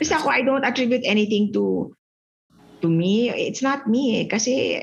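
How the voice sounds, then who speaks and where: A woman with a Visayan Filipino accent talks at a fairly slow pace in a fairly high, somewhat breathy voice. Her pitch varies in an ordinary way. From Philippines, Cebu (Visayas). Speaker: finance executive and education advocate. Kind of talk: casual interview chat, mixing Tagalog and English. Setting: video call.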